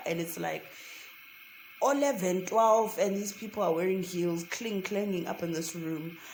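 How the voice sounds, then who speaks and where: Music plays behind a woman whose medium-pitched voice shows ordinary pitch variation. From South Africa. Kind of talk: casual story time to camera. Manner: chatty, conversational.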